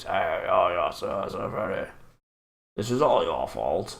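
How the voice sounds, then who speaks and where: A man uses a put-on character voice that is raspy and extremely high-pitched. He speaks at a fairly slow pace. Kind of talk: posh. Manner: haughty, accusing.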